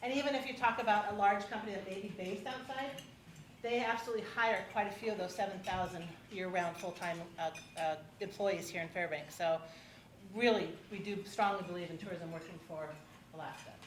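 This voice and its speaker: A woman with a medium pitch speaks at a fairly quick pace, leaving long, frequent pauses. There is noticeable background noise and audible room echo. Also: ordinary pitch variation. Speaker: forum moderator. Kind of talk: public forum moderation. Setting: hotel event room with audience. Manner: fast.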